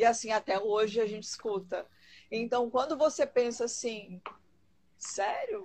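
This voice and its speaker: At a fairly slow pace, a woman talks with a high pitch. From Rio Grande do Sul, Brazil. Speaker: dog trainer. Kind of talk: live-stream interview.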